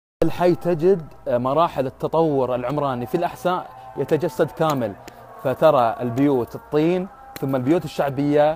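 Faint music plays behind a man who speaks at a moderate pace with ordinary pitch variation, the sound dry with no echo. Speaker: local reporter vlogger. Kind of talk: walking report narration. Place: street. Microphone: phone near.

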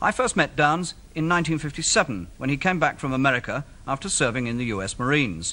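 A man's bright, sharp tone with very wide pitch swings. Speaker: TV presenter. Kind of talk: commentary. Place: studio. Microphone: old recording.

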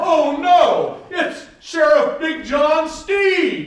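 A man's put-on character voice at an extremely high pitch and a very slow pace, with slight echo. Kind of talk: comic melodrama overacting. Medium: audio drama. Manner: theatrical overacting.

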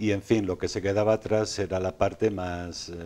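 A man with a very deep, low pitch and a dark, mellow tone speaks at a moderate pace with ordinary pitch variation. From Spain, Sanabria (Zamora); Spain. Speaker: self-published author; interview guest. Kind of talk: TV interview. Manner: halting, many repetitions. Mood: calm, reflective. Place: studio. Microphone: lapel.

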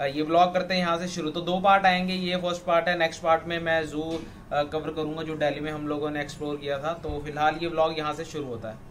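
The speech runs at a fairly quick pace with hardly any pauses. Intonation stays fairly even over light background noise. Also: man. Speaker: travel vlogger. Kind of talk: casual vlog chat. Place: home room. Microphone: phone near.

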